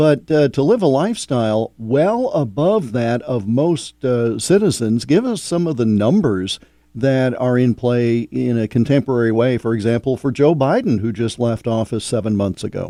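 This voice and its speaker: Hardly any pauses break this moderate-paced delivery in an ordinary speaking voice with ordinary pitch variation. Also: man, medium pitch for a man. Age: 60s. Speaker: radio host. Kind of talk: radio interview.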